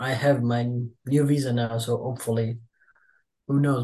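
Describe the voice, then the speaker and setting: A man's somewhat breathy voice with a dark, mellow tone over a quiet background. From Italy. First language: Italian. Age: 20s. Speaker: pro wrestler. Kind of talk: interview.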